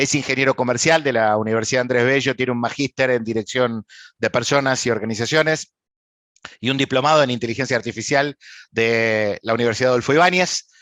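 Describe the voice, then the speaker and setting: A man with an Argentine accent talks at a fairly quick pace with fairly even intonation. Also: medium pitch for a man, dry, close sound with no echo, quiet background. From Argentina. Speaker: panel moderator. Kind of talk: panel introduction. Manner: hesitant with fillers.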